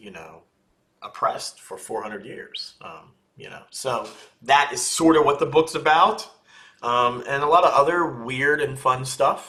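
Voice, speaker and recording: Here a man talks at a moderate pace. His loudness rises and falls in big swings. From West Philadelphia. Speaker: pastor and author. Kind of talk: interview answer.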